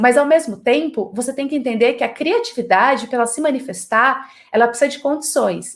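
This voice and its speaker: Fairly quick speech from a woman with a high pitch. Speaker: creativity lecturer. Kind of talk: online lecture. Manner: animated.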